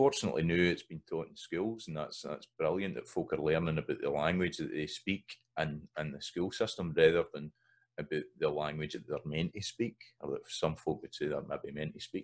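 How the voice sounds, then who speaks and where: A man in a Scottish accent at a moderate pace, with big swings in loudness. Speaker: Scots language educator. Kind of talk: educational lecture to camera. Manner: casual, conversational.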